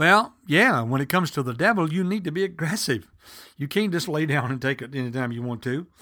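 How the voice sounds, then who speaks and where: A man speaks fairly quickly at a fairly high pitch with lively intonation. The recording is very clean, with a silent background. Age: 60s. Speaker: preacher. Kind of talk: sermon. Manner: halting.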